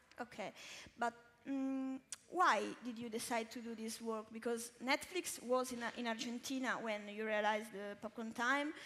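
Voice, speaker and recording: A woman speaks in an Italian accent at a fairly high pitch. Her pace is moderate and her intonation fairly even. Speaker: interviewer. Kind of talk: interview on stage.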